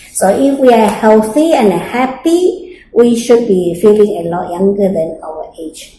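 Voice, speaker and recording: A woman's fairly high, dark and mellow voice, somewhat breathy, with big loudness swings, very wide pitch swings and a fairly slow pace. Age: 60s. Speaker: interviewee, mature student. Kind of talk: interview. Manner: hesitant with fillers.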